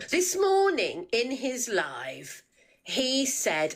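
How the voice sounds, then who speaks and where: The voice has vocal fry and moves at a very slow pace. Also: woman. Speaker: livestream viewer. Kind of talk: heated debate.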